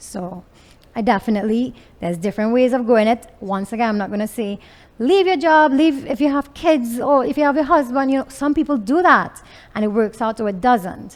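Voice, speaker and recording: A woman with a Trinidadian accent, fairly high-pitched and lively in intonation, at a moderate pace. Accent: Trinidadian, picked up in last ten years. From Venezuela. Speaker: entrepreneur, clothing designer. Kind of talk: interview. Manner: loud.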